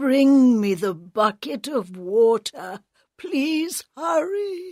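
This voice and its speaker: Very slowly, a woman uses a high-pitched put-on character voice with very wide pitch swings. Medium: read story.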